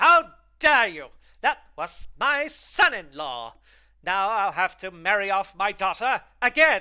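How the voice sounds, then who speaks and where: A growling, put-on character voice at a middle pitch moves at a fairly slow pace with very wide pitch swings, on a very clean recording with a silent background. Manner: snarling.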